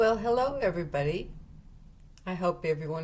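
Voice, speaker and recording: A woman talks with an unremarkable speaking voice. Her intonation is lively. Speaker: retiree. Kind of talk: personal memoir talk to camera.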